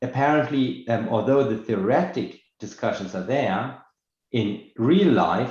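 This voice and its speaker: Speaking at a very slow pace, a man with a medium pitch sounds somewhat breathy, with lively intonation and audible room echo. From Germany. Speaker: dermatology professor. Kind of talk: panel discussion.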